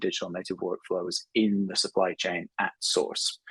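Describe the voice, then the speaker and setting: With a British accent, a man speaks at a moderate pace, the sound dry and close with no echo. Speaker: editor and conference presenter. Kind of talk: conference presentation.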